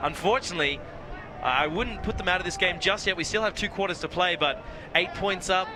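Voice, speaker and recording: Against noticeable background noise, a man with an Australian accent speaks at a fairly quick pace in a high pitch. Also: ordinary pitch variation. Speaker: sports commentator. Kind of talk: live commentary. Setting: outdoor sports field.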